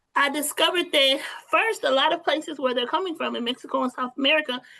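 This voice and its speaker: A woman's raised, projected voice, high in pitch and bright and sharp in tone, with ordinary pitch variation at a fairly quick pace. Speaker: teacher. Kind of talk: webinar presentation. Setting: online webinar.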